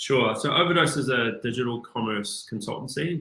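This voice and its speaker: The speaker has a New Zealand accent. The pace is fairly slow. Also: man. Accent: New Zealand (Kiwi). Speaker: business executive. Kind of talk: interview.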